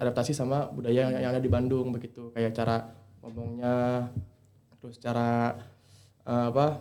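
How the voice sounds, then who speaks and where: Dark and mellow in tone, a man speaks at a fairly quick pace with a medium pitch. His intonation is monotone and flat. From Indonesia, Bekasi (West Java). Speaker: university student. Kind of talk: casual podcast chat. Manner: halting, many fillers.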